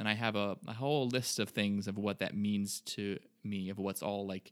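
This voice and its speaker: A man speaks with a plain, everyday voice. His pitch is fairly low. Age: 20s. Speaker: podcast co-host. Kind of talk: casual chat. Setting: video call.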